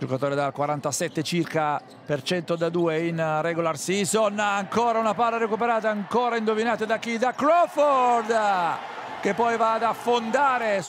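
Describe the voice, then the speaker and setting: Pitched high, a man speaks at a fairly slow pace. His intonation is lively while his loudness stays very even. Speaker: basketball commentator. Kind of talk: live sports commentary, play-by-play over highlights. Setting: game broadcast. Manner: run-on sentences, names and actions tumbling out nonstop.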